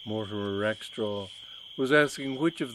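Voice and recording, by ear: A passage read aloud in a natural voice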